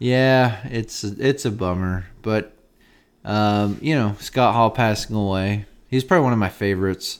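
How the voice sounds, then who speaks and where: On a very clean recording with a silent background, a man with an unremarkable speaking voice talks at a fairly slow pace, his fairly low pitch showing ordinary variation. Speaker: radio DJ and podcast co-host. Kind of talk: casual chat. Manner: joking, banter.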